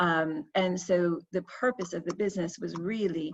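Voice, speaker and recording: Somewhat breathy, a woman with an American accent speaks with ordinary pitch variation. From United States. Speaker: fragrance brand founder. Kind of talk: panel discussion.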